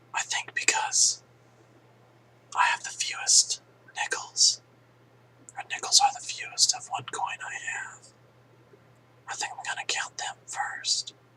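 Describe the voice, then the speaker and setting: With noticeable background noise behind him, a man talks at a fairly slow pace in an extremely high pitch, his voice swinging very widely in pitch and greatly in loudness, with long, frequent pauses. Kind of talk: ASMR whisper video, casual talk to camera. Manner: whispered, soft-spoken.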